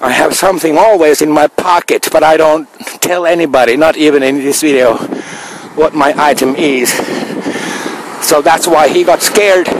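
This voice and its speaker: Amid noticeable background noise, a man speaks at a moderate pace with long, frequent pauses, fairly even intonation and very even loudness. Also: fairly high pitch for a man. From Finland. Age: 50s. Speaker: video blogger. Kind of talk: video monologue. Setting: outdoors. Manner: halting.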